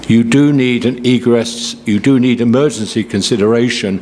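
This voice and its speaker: A man with a British accent speaks at a medium pitch. Noticeable background noise runs underneath. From Britain. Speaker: local resident speaking at public hearing. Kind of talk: public comment.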